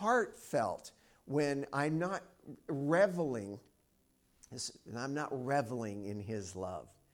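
An ordinary speaking voice from a man, fairly high in pitch with lively intonation, on a very clean recording with a silent background. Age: 50s. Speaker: preacher. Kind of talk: sermon. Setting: church. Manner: casual, conversational.

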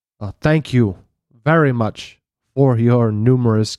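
A quiet background surrounds a natural reading voice whose pitch varies in an ordinary way.

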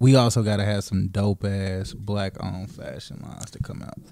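Here a man talks at a moderate pace in a dark, mellow tone. His pitch is fairly low, with ordinary variation. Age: 30s. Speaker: podcast co-host, barber. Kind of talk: casual chat.

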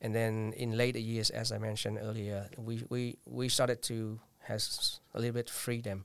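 A man with a Vietnamese accent talks at a medium pitch in a monotone, flat intonation. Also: moderate pace. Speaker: poet and librarian. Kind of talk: interview. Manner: halting.

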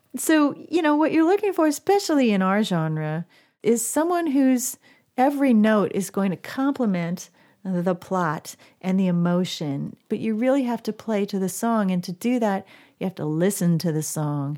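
A woman with a medium pitch and a dark, mellow tone talks at a moderate pace, her pitch swinging very widely. The recording is very clean, with a silent background. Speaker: singer-songwriter. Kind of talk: casual chat. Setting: studio.

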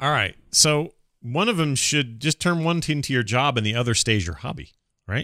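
In a very clean recording with a silent background, a bright, sharp, playful voice moves at a moderate pace with lively intonation. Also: man, fairly high pitch for a man. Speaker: podcast host. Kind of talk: casual comedic advice chat. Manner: joking, playful.

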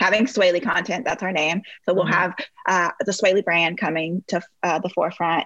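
A plain, everyday voice speaks with an American accent. It moves at a fairly quick pace with fairly even intonation. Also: woman, medium pitch for a woman. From US Midwest. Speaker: former pageant queen and reality TV personality. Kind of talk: interview.

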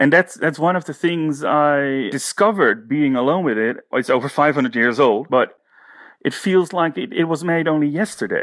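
With a Dutch accent, a man speaks at a moderate pace and a fairly high pitch, his intonation lively against a quiet background. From Netherlands, Haarlem. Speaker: painter and teacher. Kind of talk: interview. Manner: halting.

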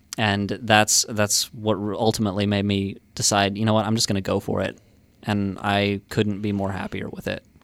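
Speaking in a monotone with flat intonation, a man delivers his words at a fairly low pitch. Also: moderate pace. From Arkansas (Harrison). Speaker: novelist. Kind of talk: radio interview.

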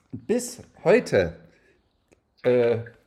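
A man speaks with very wide pitch swings. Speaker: podcast co-host. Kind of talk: casual chat. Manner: soft-spoken.

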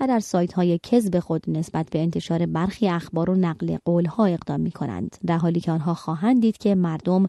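Against a quiet background, a woman with a dark, mellow tone and fairly low pitch talks at a very fast pace with ordinary pitch variation and hardly any pauses. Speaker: radio magazine host. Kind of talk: news reading. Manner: formal.

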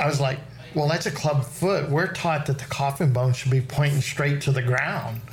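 A man with a fairly high voice, fairly even intonation and very even loudness at a moderate pace, with audible room echo and noticeable background noise. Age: 60s. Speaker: farrier. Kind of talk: casual chat.

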